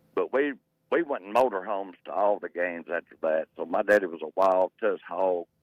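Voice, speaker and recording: With an Arkansas accent, the speaker talks with ordinary pitch variation. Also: man, fairly low pitch for a man, fairly quick pace. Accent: southern US (Arkansas). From Arkansas, Pine Bluff. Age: 60s. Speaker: caller. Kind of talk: call-in radio chat.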